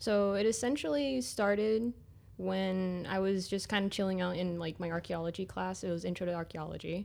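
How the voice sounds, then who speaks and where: A woman talks at a moderate pace. Her pitch is medium, with ordinary pitch variation. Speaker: interviewee sharing coming out story. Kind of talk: personal narrative interview. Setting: studio. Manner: hesitant, filler-heavy.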